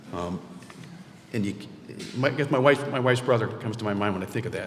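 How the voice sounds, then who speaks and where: A man's medium-pitched voice at a very fast pace, with ordinary pitch variation, audible room echo and noticeable background noise. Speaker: award honoree. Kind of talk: award acceptance speech. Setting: stage with audience. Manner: halting.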